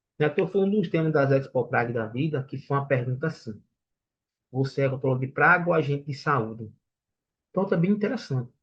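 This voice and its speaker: Somewhat breathy and fairly high-pitched, a man speaks at a fairly quick pace with lively intonation. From Brazilian Northeast. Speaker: sales trainer. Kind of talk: lecture. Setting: online livestream.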